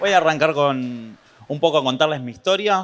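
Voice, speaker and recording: A man with lively intonation at a moderate pace against a quiet background. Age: 30s. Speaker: entrepreneur. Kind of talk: public talk. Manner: halting.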